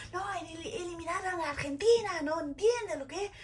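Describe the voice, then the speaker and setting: Over noticeable background noise, a woman with a French accent talks at a moderate pace in an animated tone, her pitch swinging very widely. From France. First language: French (speaking Spanish). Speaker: vlogger. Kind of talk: personal storytelling vlog.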